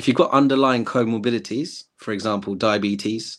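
A man's moderate-paced speech, with ordinary pitch variation, is captured in a very clean recording against a silent background. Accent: English. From England. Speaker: former health service manager. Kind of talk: casual interview chat.

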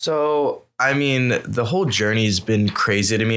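A man with an American accent speaks at a medium pitch with ordinary pitch variation and a bright, sharp tone, on a very clean recording with a silent background. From Northern California, East Bay. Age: young. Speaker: online seller, entrepreneur. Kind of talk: casual interview chat. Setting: studio.

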